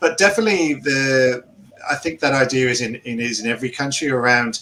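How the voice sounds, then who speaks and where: Noticeable background noise sits behind a man with a slight English accent. He talks at a fairly quick pace with medium pitch and ordinary pitch variation. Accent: English, milder than Philippe's. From England. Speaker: podcast co-host. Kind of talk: casual chat.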